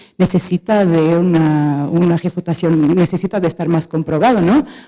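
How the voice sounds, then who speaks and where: With a Portuguese accent, a woman speaks at a fairly slow pace in a fairly low pitch, her tone dark and mellow and her pitch variation ordinary. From Portugal. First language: Portuguese (speaking Spanish). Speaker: audience member asking questions, economist. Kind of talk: question from audience at panel debate. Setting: auditorium with audience. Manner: halting, with fillers and self-corrections.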